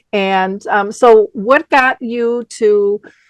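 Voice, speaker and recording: A woman talks with a fairly high pitch and ordinary pitch variation in an unremarkable speaking voice. The sound is dry and close with no echo, over a quiet background. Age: 60s. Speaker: radio host. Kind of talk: interview.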